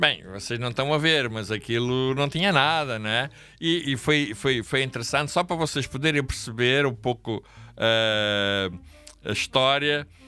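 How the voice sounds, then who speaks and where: Music plays in the background. The speaker goes at a fairly slow pace with ordinary pitch variation. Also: man, medium pitch for a man. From Angola. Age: 60s. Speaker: pastor. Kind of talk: interview storytelling. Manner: halting.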